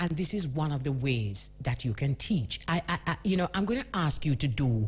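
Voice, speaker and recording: A woman with a very deep, low pitch speaks at a moderate pace, using vocal fry and very wide pitch swings. The recording is very clean, with a silent background. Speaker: radio host. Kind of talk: radio interview, host questions.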